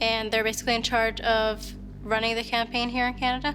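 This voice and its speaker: Over music in the background, a woman speaks fairly quickly at a fairly high pitch in a monotone, flat intonation. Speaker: slam poet. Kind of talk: interview answer.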